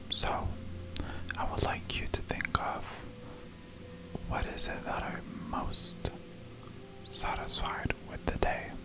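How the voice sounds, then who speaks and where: A woman whispers in a gentle, soothing tone at a very slow pace, leaving long, frequent pauses. Her loudness swings a lot as music plays in the background. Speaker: ASMR creator. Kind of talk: ASMR sleep relaxation talk. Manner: soft, gentle, soothing.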